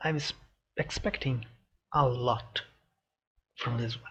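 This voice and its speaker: A man is speaking. His voice is somewhat breathy. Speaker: reaction video youtuber. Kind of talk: reaction video commentary. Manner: halting, many fillers.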